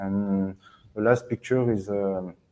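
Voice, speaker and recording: This man speaks with a French accent. His pitch sits fairly low. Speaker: sports federation IT manager. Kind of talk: presentation. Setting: webinar. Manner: hesitant, many fillers.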